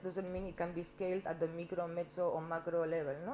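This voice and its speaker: A dark, mellow tone with a Catalan accent moves at a very fast pace over light background noise. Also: woman. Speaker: activist and symposium panelist. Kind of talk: conference panel talk. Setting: stage with audience. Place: meeting room. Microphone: podium.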